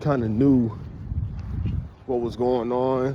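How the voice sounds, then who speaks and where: A man speaks at a medium pitch. Audible room echo and noticeable background noise come through. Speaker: street preacher. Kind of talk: walking vlog talk. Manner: halting.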